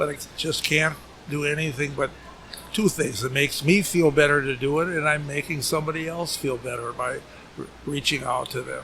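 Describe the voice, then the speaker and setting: At a moderate pace, a man with an American accent talks in a fairly high pitch and fairly even intonation over noticeable background noise. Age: 80s+. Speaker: retired business owner. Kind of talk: casual interview. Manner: halting, repeats words.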